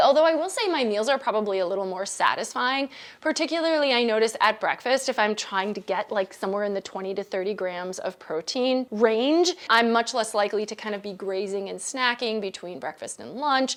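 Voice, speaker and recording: A woman in a plain, everyday voice speaks with lively intonation and hardly any pauses. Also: fairly high pitch for a woman. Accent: American. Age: 50s. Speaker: dietitian. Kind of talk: casual explainer to camera. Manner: conversational, informal.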